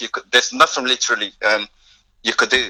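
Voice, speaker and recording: A man with a slight non-native accent. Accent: barely noticeable foreign. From northern Nigeria. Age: 20s. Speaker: youth charity founder. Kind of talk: podcast interview. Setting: remote call. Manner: halting.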